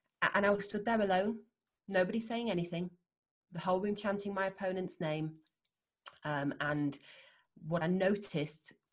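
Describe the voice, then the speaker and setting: A somewhat breathy woman in a Yorkshire accent, at a moderate pace. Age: 40s. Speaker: world champion Thai boxer and neurophysiotherapist. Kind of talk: interview conversation.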